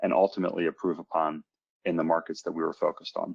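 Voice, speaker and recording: A man talks at a very fast pace. The sound is dry and close with no echo, over a quiet background. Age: 40s. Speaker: real estate investor. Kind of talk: webinar presentation. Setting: online webinar. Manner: halting.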